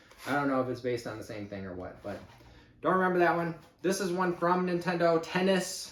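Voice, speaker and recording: With noticeable background noise, a man with an American accent talks at a fairly quick pace in a high pitch with lively intonation. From Chicago area exurb, Midwest US. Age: 50s. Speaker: YouTuber, eBay reseller. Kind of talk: unboxing video, casual talk to camera. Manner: casual, many fillers (uh, um).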